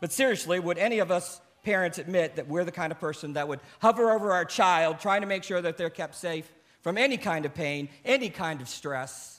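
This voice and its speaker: A high-pitched man with an American accent talks at a fairly quick pace, his pitch varying in an ordinary way. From United States. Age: 50s. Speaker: pastor. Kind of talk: sermon.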